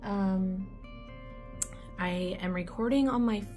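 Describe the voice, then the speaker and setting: Clear music plays in the background. A woman is speaking. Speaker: candle wax reviewer. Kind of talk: casual vlog chat. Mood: light, slightly unsure. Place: home room. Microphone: phone near.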